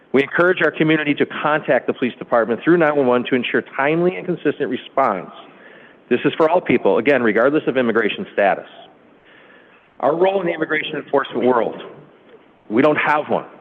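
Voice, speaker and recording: The speech runs at a very fast pace, broken by long, frequent pauses, with ordinary pitch variation. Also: man, fairly high pitch for a man. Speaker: police chief. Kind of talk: prepared statement at council meeting. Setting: city council meeting.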